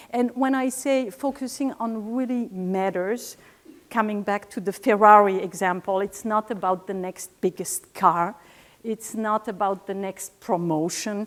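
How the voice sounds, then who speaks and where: A woman with a French accent talks at a fairly slow pace and medium pitch. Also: ordinary pitch variation. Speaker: scientist in vaccines, public speaker. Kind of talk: conference talk. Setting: stage with audience.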